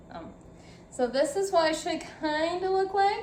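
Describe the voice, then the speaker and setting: A woman's voice with audible room echo. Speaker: cooking vlogger. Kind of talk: cooking tutorial. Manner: casual, chatty.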